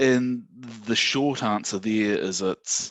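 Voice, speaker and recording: A man speaks with a New Zealand accent. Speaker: systems administrator presenting at user group. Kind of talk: technical presentation. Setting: online video meeting.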